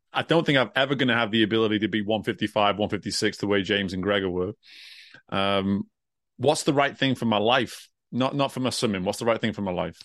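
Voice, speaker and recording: Speaking at a very fast pace, a man with an American accent uses a fairly low pitch and ordinary pitch variation. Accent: British with some American twang. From England. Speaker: career coach and former swimming coach. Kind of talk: interview conversation. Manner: animated.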